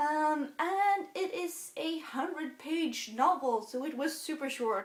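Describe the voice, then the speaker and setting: Lively intonation marks this woman's speech in a Swedish accent. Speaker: book vlogger. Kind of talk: casual book review monologue. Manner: halting.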